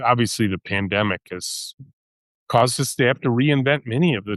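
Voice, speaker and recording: In a normal speaking voice, a man talks at a fairly quick pace and medium pitch with ordinary pitch variation, recorded with a dry, close sound, no echo and a quiet background. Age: 60s. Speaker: company CEO and author. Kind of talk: interview.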